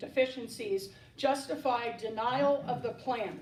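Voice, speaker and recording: Clear background noise and audible room echo surround speech with fairly flat intonation. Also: woman. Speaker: local resident speaking at public comment. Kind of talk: prepared public comment statement. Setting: township council meeting. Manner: formal.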